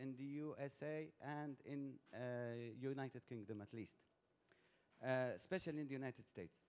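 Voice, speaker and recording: Fairly high pitch for a man, at a moderate pace with ordinary pitch variation. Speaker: audience member asking a question. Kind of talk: conference audience question. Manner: loud; halting, repetitive.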